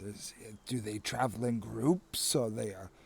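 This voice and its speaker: A man performs in a put-on character voice. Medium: actual play.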